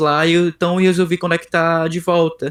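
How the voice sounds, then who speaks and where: This man's voice is high in pitch. He talks at a moderate pace. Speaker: software developer. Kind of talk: interview. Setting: video call. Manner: halting.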